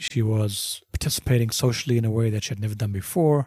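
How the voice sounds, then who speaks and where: Somewhat breathy and dark, mellow in tone, a man speaks at medium pitch and a fairly quick pace with ordinary pitch variation, in a dry, close sound with no echo. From South Africa, Johannesburg. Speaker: bereaved father. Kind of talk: testimony.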